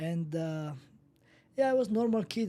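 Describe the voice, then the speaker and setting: A man's dark, mellow voice, high in pitch, with a Georgian accent at a moderate pace. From Georgia (country), rural village. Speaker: professional MMA fighter. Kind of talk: interview. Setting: studio. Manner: relaxed, laid-back; quiet.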